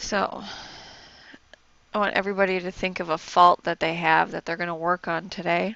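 Soft-spoken with vocal fry, a woman talks at a moderate pace in a fairly low pitch with little pitch movement. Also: fairly bright tone.

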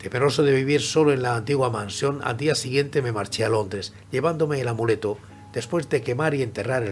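A man at a fairly quick pace, hardly any pauses, faint music in the background. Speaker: audiobook narrator. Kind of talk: dramatic story reading. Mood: grave, suspenseful.

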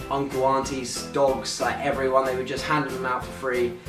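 Clear music can be heard in the background. Over it, a man speaks at a fairly quick pace. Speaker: vlogger. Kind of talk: casual vlog chat. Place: home room. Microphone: camera far.

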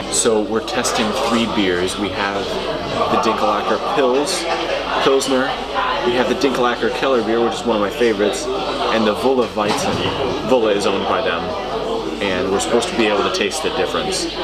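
A man speaks at a moderate pace with ordinary pitch variation. He takes long, frequent pauses while crowd noise sounds in the background. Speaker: vlogger. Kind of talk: casual vlog chat. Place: bar. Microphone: camera far.

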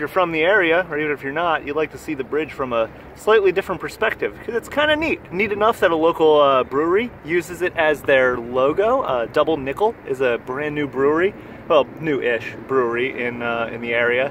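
A man talks at a fairly quick pace, with light background noise behind him. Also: dry sound with no echo. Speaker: sailor vlogger. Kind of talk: casual vlog chat. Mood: enthusiastic, relaxed. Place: boat. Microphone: phone near.

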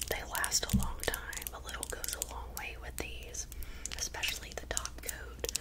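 Amid loud background noise, a woman speaks at a fairly slow pace. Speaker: ASMR creator. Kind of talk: ASMR whispering. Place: home room. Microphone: studio mic.

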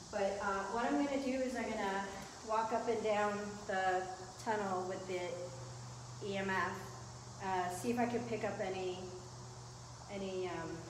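A woman speaks at a moderate pace with ordinary pitch variation and long, frequent pauses. Noticeable background noise and audible room echo fill the recording. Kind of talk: casual explanation. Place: tunnel cave.

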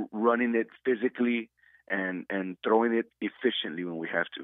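A man with an ordinary speaking voice moves at a moderate pace, his pitch shifting in an ordinary way. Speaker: high school football coach. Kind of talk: radio interview about a game. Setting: phone call.

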